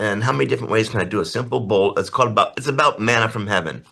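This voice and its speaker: An animated man with a bright, sharp tone, lively intonation and vocal fry, over a quiet background. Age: 80s+. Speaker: artist and painting teacher. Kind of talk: interview.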